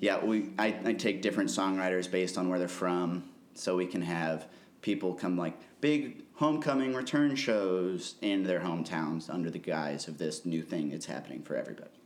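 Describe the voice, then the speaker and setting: Room echo is audible as a man speaks at a moderate pace. His pitch is very deep and low. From Missouri (Columbia). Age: 20s. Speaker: concert promoter and musician. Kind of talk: casual interview.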